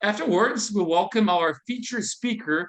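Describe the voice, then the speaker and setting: A man with a non-native accent speaks at a fairly quick pace with lively intonation. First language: not English. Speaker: event host, building organization manager. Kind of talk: event hosting announcements. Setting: video call. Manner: halting.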